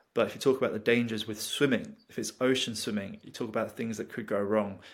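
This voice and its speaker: With a British accent, a man talks at a very fast pace and a fairly low pitch. His intonation is monotone and flat, on a very clean recording with a silent background. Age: 20s. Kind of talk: interview conversation.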